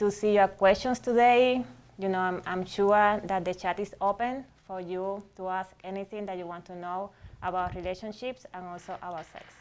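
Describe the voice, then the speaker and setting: A woman speaks at a moderate pace and medium pitch, in a Cuban accent, with fairly even intonation but big swings in loudness. The recording is very clean, with a silent background. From Cuba, Havana. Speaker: psychologist, relationship and sex therapist. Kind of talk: panel discussion.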